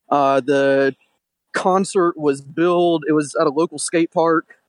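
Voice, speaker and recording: A man talks at a fairly slow pace in an unremarkable speaking voice with ordinary pitch variation. The sound is dry and close, with no echo. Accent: American. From Detroit, Michigan. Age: 20s. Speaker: caller. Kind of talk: anecdote on a call-in show.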